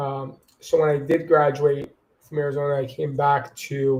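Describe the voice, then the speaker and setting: A man with a fairly high, somewhat breathy voice and an American accent. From Long Island, New York. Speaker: marketing director. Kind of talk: interview.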